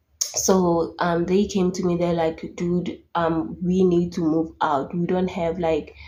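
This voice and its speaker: Amid audible room echo, a woman speaks at a very slow pace with a fairly low pitch and a somewhat breathy, dark, mellow tone. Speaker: YouTuber. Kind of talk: storytime vlog. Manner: casual, chatty.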